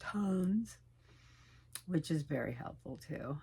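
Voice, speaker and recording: A woman with a fairly low, somewhat breathy voice talks at a fairly slow pace, using ordinary pitch variation. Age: 60s. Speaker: vlogger sharing personal life update. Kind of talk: casual personal vlog. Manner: halting, with many fillers.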